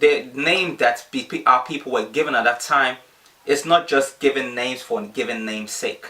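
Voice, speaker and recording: A man speaks in a fairly high voice with lively intonation. Noticeable background noise can be heard. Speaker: bible teacher. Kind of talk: bible teaching livestream. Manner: fast.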